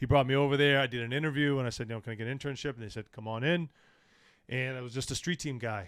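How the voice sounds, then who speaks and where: A man with an American accent talks at a very fast pace in a medium pitch with fairly even intonation. The recording is very clean, with a silent background. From New England (Massachusetts, southern New Hampshire). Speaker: hip hop show promoter. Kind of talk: casual podcast interview. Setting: studio.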